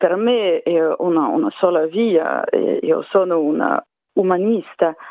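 A woman talks at a very slow pace. Her pitch rises and falls in an ordinary way. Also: medium pitch for a woman. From Russia, Saint Petersburg. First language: Russian (speaking Italian). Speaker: opera singer. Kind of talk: radio interview. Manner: halting.

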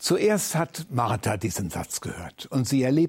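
A man's somewhat breathy voice, medium in pitch, very slow, with lively intonation. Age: 70s. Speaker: retired church leader and preacher. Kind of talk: sermon.

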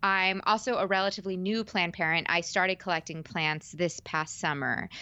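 An American-accented woman speaks at a moderate pace and medium pitch, with ordinary pitch variation and very even loudness. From New York suburbs. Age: 20s. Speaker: podcast host and actress. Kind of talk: interview conversation. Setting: video call.

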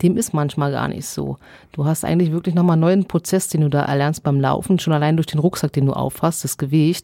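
Dark and mellow in tone, a woman's very deep, low voice moves at a fairly quick pace, the sound dry and close with no echo. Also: fairly even intonation. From Allgäu, Bavaria. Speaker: long-distance barefoot hiker. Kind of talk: interview.

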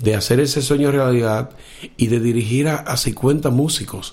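Heard with audible room echo, a man talks at a moderate pace and medium pitch. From Dominican Republic, Cibao valley (north). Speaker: blind musician and orchestra conductor. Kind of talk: interview.

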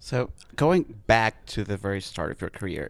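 This man has a plain, everyday voice. His pitch is fairly low, with ordinary pitch variation. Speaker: podcast host. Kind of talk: interview. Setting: on a theater stage.

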